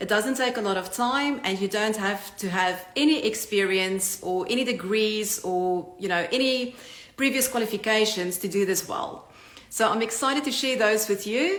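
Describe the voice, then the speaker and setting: With a South African accent, a woman speaks at a moderate pace over noticeable background noise, with audible room echo. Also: fairly high pitch for a woman, ordinary pitch variation. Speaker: online business coach. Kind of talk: channel introduction talk. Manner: direct.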